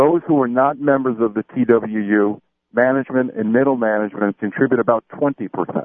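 A man with a plain, everyday voice, medium pitch, ordinary pitch variation and a fairly quick pace. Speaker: mayoral candidate. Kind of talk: radio interview.

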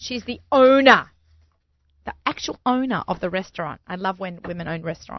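A woman speaks at a medium pitch in an Australian accent, with lively intonation. The sound is dry and close, with no echo. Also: moderate pace.

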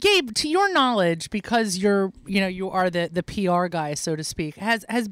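In a dry, close sound with no echo, a woman with a plain, everyday voice talks at a moderate pace and medium pitch with ordinary pitch variation. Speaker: radio host. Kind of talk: casual chat. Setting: studio.

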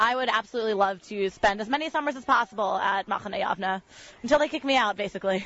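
A very fast-talking woman with an American accent, fairly high pitch and ordinary pitch variation. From Connecticut, West Hartford. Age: 18. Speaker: camp counselor. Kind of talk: interview conversation. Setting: at a summer camp.

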